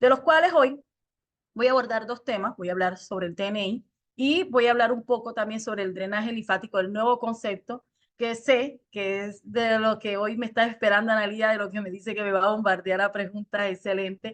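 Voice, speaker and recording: A woman with a Colombian Caribbean accent speaks at a fairly quick pace, her fairly high pitch moving with ordinary variation. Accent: Colombian Caribbean coastal Spanish. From Colombia, Caribbean coast (Cartagena). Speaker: lymphatic therapist and trainer. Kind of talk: online presentation. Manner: fast.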